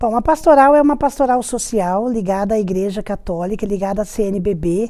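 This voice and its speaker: A woman with a fairly high pitch and a dark, mellow tone speaks fairly slowly. Her intonation is lively. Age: 60s. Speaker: retired teacher, prison ministry coordinator. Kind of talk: interview testimony.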